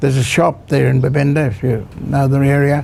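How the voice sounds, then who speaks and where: Speaking in an Australian accent, a man keeps to a moderate pace. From Queensland, Australia. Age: 80s+. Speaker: grandfather telling life story. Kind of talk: personal storytelling interview. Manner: halting, many fillers.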